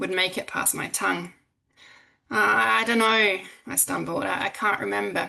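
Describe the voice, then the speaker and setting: A woman with an Australian accent at a moderate pace, with long, frequent pauses. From South Australia. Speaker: academic. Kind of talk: conference presentation.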